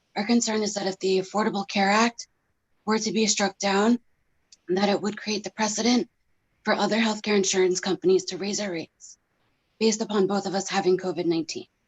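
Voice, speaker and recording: Somewhat breathy, a woman with an American accent speaks at a fairly quick pace. Her intonation is monotone and flat. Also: medium pitch for a woman. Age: 30s. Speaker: pharmacy technician and patient. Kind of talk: testimony. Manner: formal.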